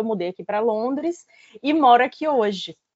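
Fairly high female speech with ordinary pitch variation, delivered at a moderate pace. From Fortaleza, Ceará, Northeast Brazil. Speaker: writer and journalist. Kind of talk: casual interview. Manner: hesitant, many fillers.

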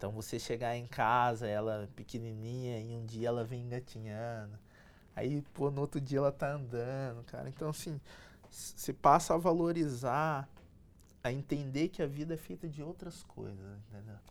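A man speaks in a normal speaking voice at medium pitch and moderate pace, with ordinary pitch variation and big swings in loudness, on a very clean recording with a silent background. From Brazil, São José dos Campos (São Paulo state). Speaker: electronic engineer and entrepreneur. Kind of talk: interview, life story.

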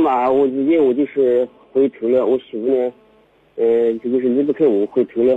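There are long, frequent pauses in this clip. The man speaks at medium pitch. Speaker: caller, small trader. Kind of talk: call-in radio confession. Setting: phone call. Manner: fast.

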